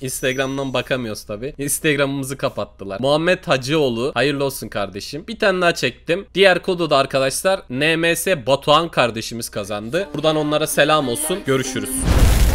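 A man at a moderate pace with hardly any pauses and ordinary pitch variation. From Turkey. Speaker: gaming YouTuber. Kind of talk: angry rant. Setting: screen-recorded voiceover. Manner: animated; loud, swearing. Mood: frustrated after losing money. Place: home room. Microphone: headset.

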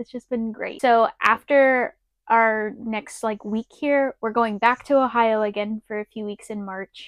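A moderate pace in a dry sound with no echo. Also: woman, quiet background. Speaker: RV vlogger. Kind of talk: casual vlog chat. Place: home room. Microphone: lapel.

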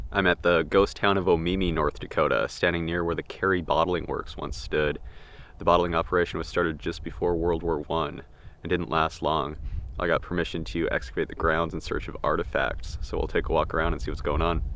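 A man talks at a fairly quick pace, recorded with a dry sound and no echo. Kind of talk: casual vlog commentary. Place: open country.

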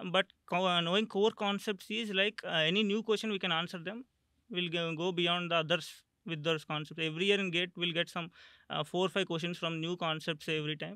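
At a fairly quick pace, a man with a high pitch and fairly even intonation speaks in a dry sound with no echo and a quiet background. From Andhra Pradesh, India. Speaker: exam topper, engineering graduate; interviewee. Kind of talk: interview. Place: studio. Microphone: studio mic.

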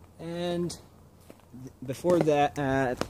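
A man's dry voice with no echo, over noticeable background noise. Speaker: local history vlogger. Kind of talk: casual vlog chat. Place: open country. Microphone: phone near.

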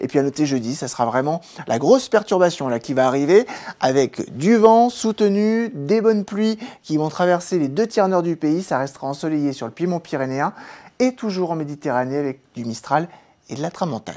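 A woman's very deep, low voice with very wide pitch swings, at a moderate pace against a quiet background. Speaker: weather presenter. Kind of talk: weather report, brisk spoken forecast. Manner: brisk, informative, conversational with fillers. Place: studio. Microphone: lapel.

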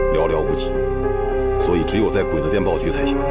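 A man talking at a fairly quick pace over loud background music. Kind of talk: scripted drama dialogue. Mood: calm, serious planning. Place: home room.

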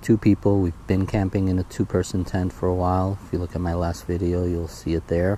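Very deep and low, the man's voice keeps a fairly even intonation. The sound is dry with no echo, and there is light background noise. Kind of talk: gear walkthrough tutorial. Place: garden. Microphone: phone near.

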